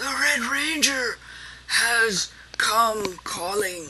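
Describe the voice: In a put-on character voice, a woman speaks very slowly, wheezy and fairly high-pitched.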